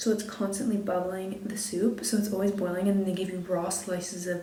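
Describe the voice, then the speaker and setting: A soft-spoken woman talks at a medium pitch with fairly even intonation. There is audible room echo and noticeable background noise. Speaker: lifestyle vlogger. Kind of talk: casual vlog chat. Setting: hotel room.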